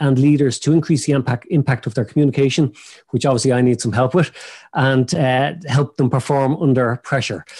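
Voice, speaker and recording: A man's dark, mellow tone is heard over a quiet background. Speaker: podcast host. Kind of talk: introduction of a guest, partly read. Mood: friendly, light laughter. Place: office. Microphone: video call.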